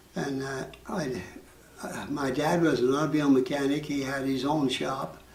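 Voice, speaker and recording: A man with an American accent speaks at a moderate pace and a fairly high pitch. His intonation is fairly even, and background noise is noticeable. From Utah, United States. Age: 80s+. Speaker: war veteran. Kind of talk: interview answer.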